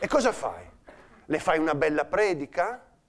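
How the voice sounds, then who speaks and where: The voice belongs to a man. He sounds animated. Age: 50s. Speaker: comedian. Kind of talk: stand-up. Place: stage. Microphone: lapel.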